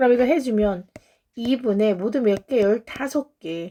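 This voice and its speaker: At a very slow pace, a woman speaks with lively intonation and a dark, mellow tone. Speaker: math tutor. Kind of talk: lecture.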